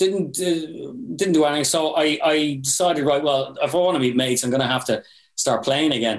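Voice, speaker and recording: A man with an Irish accent talks at a fairly quick pace and fairly high pitch, keeping his loudness very even and his pitch variation ordinary. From Ireland. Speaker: metal band vocalist and guitarist. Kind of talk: casual podcast interview.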